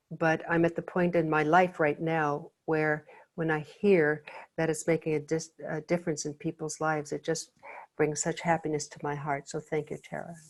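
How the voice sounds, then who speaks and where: With a very deep, low voice, a woman talks at a moderate pace. Her intonation is monotone and flat. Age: 70s. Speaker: life coach and teacher. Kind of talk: live online workshop Q&A.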